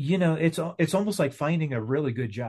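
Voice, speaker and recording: A man speaks against a quiet background, his pitch varying in an ordinary way. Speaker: co-host. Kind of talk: casual conversation. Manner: laid-back, chuckling.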